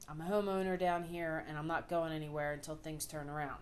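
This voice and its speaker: With a strong Philadelphia accent, a woman talks at a fairly low pitch and with fairly even intonation. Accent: thick Philadelphia. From US Northeast, Philadelphia. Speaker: vlogger. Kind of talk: personal video diary. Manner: casual, with frequent fillers.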